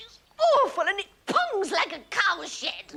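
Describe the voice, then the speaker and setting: A put-on character voice, extremely high in pitch and at a fairly slow pace. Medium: short film. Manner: haughty, affected, scornful.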